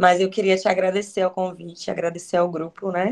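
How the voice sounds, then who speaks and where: At a moderate pace, a woman speaks at a medium pitch in a monotone, flat intonation. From Bahia, Brazil. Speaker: education researcher, lecturer. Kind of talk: lecture. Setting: video call. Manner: halting.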